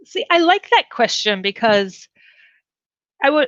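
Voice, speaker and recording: Fairly slowly and with lively intonation, a woman with an Upper Midwest accent speaks in a bright, sharp tone, her sound dry and close with no echo against a quiet background. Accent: Upper Midwest (Fargo-style) American. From US Midwest. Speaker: comedy writer and improv performer. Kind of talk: interview answer.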